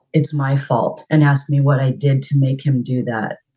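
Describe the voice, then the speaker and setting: A woman talks in a very deep, low pitch with a dark, mellow tone. There is a somewhat breathy quality to her voice. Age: 40s. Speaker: mental health worker. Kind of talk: counseling session.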